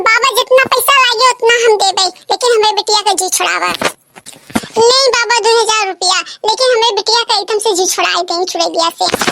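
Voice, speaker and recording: In a squeaky, cartoonish character voice, a female-sounding speaker talks at a moderate pace with an extremely high pitch and hardly any pauses. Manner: blunt, loud.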